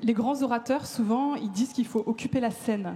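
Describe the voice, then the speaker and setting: Her pace fairly slow, a woman talks at a fairly high pitch with ordinary pitch variation. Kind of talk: talk to a live audience. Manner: casual, lively.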